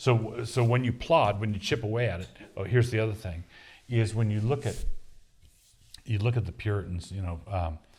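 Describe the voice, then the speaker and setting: A man's somewhat breathy voice at a fairly low pitch, with ordinary pitch variation and a moderate pace. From US East Coast, Annapolis, Maryland. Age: 60s. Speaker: pastor and author. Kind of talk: Q&A session. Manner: halting, many restarts.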